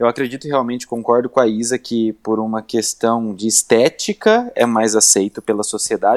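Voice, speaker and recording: The recording is very clean, with a silent background and a dry, close sound with no echo. A man with an unremarkable speaking voice talks at medium pitch and a moderate pace. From interior of Brazil. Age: 20s. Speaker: gaming youtuber. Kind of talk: casual chat.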